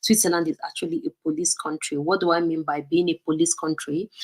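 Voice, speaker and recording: In a Nigerian accent, a woman speaks at a fairly quick pace with a fairly low pitch, the sound dry and close with no echo. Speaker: vlogger. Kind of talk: live stream talk. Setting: live stream. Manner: casual, hesitant with fillers.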